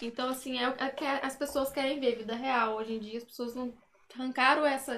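Against noticeable background noise, a woman speaks in a high pitch with monotone, flat intonation. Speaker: social media influencer. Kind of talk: casual chat.

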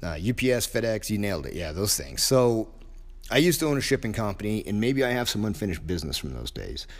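A man's fairly low voice with vocal fry, very fast, with very wide pitch swings. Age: 50s. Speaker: martial arts coach and gym owner. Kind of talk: solo podcast monologue. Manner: casual, hesitant with fillers.

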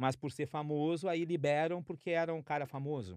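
Over a quiet background with a dry, close sound and no echo, a man with an unremarkable speaking voice and fairly high pitch talks at a moderate pace. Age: 50s. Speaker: podcast co-host. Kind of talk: casual chat.

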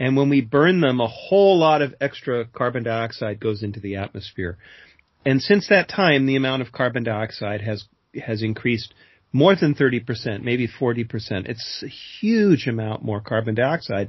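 Lively intonation marks this man's speech in an American accent. His voice is somewhat breathy, and his pace is moderate. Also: medium pitch for a man. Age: 60s. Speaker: climate author and speaker. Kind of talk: interview.

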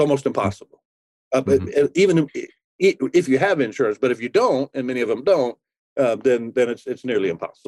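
A man talks at a fairly quick pace in a normal speaking voice. His medium pitch carries lively intonation. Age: 60s. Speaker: pastor. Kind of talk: interview.

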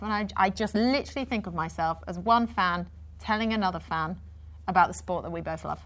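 In a very clean recording with a silent background, a woman with a Yorkshire accent speaks at a fairly quick pace. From Yorkshire, near Leeds. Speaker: TV sports presenter. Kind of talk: interview.

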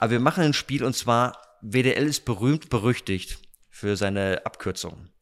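This is an unremarkable speaking voice, with ordinary pitch variation at a moderate pace. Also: man, medium pitch for a man. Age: 40s. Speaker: stand-in podcast host, youth ministry staff. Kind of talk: casual interview. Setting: dining hall at a retreat centre.

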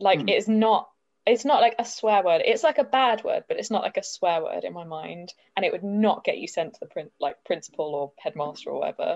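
A woman with a southern English accent at a fairly quick pace, with big swings in loudness. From southern England. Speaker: podcast guest. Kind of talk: casual chat.

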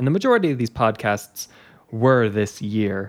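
A man talks in a normal speaking voice at a medium pitch and a moderate pace. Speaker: podcast host. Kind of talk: casual chat.

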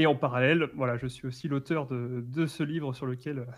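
The voice moves at a moderate pace, its pitch varying in an ordinary way. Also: man. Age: 20s. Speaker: author and management trainer. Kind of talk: interview. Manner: halting, repeating words.

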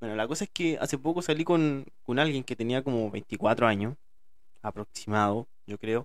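On a very clean recording with a silent background, a man with a Chilean accent talks at a moderate pace and medium pitch with ordinary pitch variation. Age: 30s. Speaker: podcaster. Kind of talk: casual monologue. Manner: informal, self-described as speaking badly.

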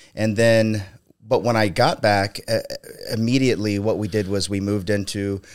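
In a plain, everyday voice with an American accent, a man speaks fairly slowly at a fairly low pitch with fairly even intonation, on a very clean recording with a silent background. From Ohio. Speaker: entrepreneur and concrete company owner. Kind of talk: casual chat.

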